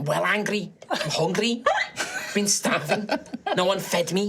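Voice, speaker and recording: A put-on character voice, female-sounding and medium in pitch, at a moderate pace. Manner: angry.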